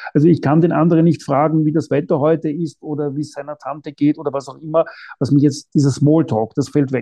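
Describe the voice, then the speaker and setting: A man speaks very fast, his pitch fairly high. His tone is dark and mellow. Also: fairly even intonation, quiet background. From Austria, Vienna. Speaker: non-fiction author. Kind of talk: interview. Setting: remote call.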